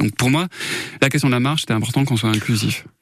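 Noticeable background noise is present. Over it, a man talks. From southern France, Gard (Saint-Christophe-lès-Alès). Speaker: dancer and arts venue founder. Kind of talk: radio interview.

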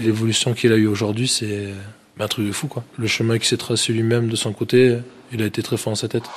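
The speech runs at a fairly quick pace in a monotone, flat intonation. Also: man, medium pitch for a man. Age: 20s. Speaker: professional rugby player. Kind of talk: interview.

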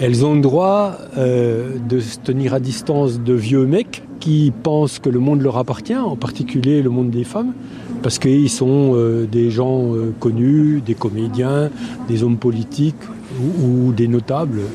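At a fairly slow pace, a man speaks at medium pitch with ordinary pitch variation and very even loudness, against noticeable background noise. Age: 70s. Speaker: protester. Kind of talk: street interview.

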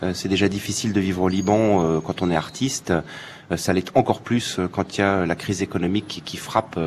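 A man's very deep, low voice with fairly even intonation over noticeable background noise. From Paris, France. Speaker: foreign correspondent journalist. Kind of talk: interview.

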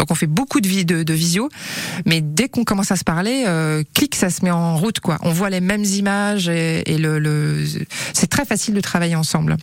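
Against noticeable background noise, a woman speaks at a moderate pace and fairly low pitch, with very even loudness and ordinary pitch variation. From western France (Angers), childhood in Gabon. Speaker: TV screenwriter and author. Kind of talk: radio interview.

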